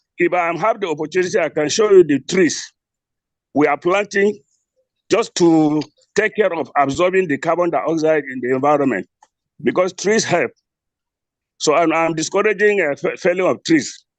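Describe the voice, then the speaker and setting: A man's high-pitched voice at a moderate pace, with long, frequent pauses and a dry, close sound with no echo. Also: ordinary pitch variation. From Nigeria, Gombe State. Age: 60s. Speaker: retired engineer and environmental activist. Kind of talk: online webinar contribution. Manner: halting, repetitive.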